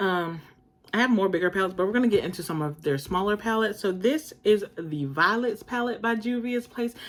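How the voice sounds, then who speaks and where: A woman speaks with a normal speaking voice at medium pitch. Her pace is fairly quick and her intonation lively. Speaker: beauty vlogger. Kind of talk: casual haul/collection review. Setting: home, informal in pajamas.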